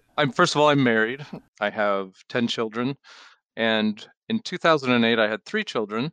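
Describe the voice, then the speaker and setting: A man with a Pacific Northwest accent, medium pitch and ordinary pitch variation, a bright, sharp tone, a moderate pace, and a dry, close sound with no echo against a quiet background. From Washington State, Seattle. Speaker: charity director, retired police officer. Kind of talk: interview.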